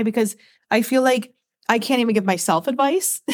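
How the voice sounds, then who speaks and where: Her pitch high and its variation ordinary, a woman speaks at a fairly quick pace. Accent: American. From Michigan, US. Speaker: podcast co-host, mom. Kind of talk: casual chat.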